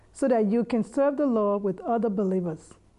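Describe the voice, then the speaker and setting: With lively intonation, a woman talks at a fairly quick pace in an ordinary speaking voice pitched fairly high. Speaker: church announcer. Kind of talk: scripted announcement.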